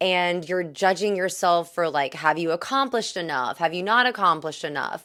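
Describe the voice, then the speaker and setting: Here a woman with an American accent has a bright, sharp tone and a fairly low pitch that varies in an ordinary way. She barely pauses, and the recording is very clean with a silent background. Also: moderate pace. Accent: Southern US, coming back. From US South, Greenville, South Carolina. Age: 30s. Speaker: vlogger. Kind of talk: casual vlog talk.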